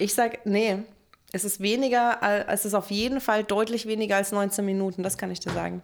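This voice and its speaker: A monotone, flat delivery at a fairly quick pace. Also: woman, medium pitch for a woman. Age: 30s. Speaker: podcast co-host. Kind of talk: casual chat.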